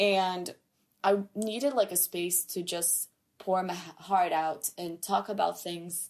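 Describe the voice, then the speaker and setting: A woman of medium pitch talks very slowly with a Portuguese accent and fairly even intonation. Her loudness swings a lot. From Brazil. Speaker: podcast host, film student. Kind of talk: solo podcast monologue. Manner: casual, chatty.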